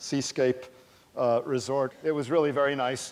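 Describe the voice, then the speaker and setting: This is a man with an American accent. He talks at a moderate pace. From US West Coast, California Bay Area. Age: 60s. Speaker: astronomy professor. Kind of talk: public lecture. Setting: stage with audience. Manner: animated.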